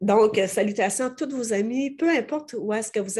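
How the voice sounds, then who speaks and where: A woman with a Quebec accent speaks at a moderate pace, her pitch fairly high with ordinary variation. Her tone is dark and mellow, and the background is quiet. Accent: Québécois French. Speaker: interviewer. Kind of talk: interview.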